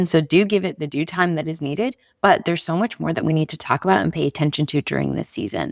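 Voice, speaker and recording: Recorded very cleanly with a silent background and a dry, close sound with no echo, a woman speaks in a very deep, low pitch with vocal fry and ordinary pitch variation. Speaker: podcast host. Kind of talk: casual monologue. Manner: not speaking loudly.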